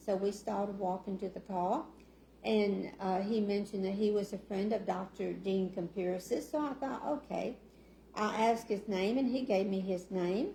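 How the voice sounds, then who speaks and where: Soft-spoken and somewhat breathy, a woman with an Arkansas accent talks at a moderate pace and medium pitch in a dark, mellow tone. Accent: Southern US (Arkansas). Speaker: city council member. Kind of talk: casual talk at community meeting. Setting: meeting room with audience. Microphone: sound issues, too quiet.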